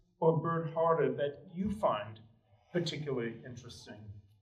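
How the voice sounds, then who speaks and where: Heard with audible room echo, a man with an American accent speaks with lively intonation. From New York. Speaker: panel moderator. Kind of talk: panel discussion. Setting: gallery with audience.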